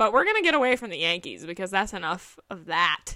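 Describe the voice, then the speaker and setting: With a slight Southern US accent, a woman speaks in an animated, playful tone that is bright and sharp, with very wide pitch swings and a dry, close sound with no echo. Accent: slight Southern US twang. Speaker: sports podcast host. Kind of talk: casual solo podcast chat.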